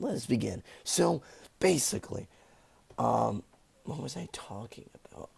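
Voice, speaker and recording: A man puts on a hoarse, raspy character voice at a fairly low pitch. He keeps a moderate pace, broken by long, frequent pauses. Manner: sad, tired.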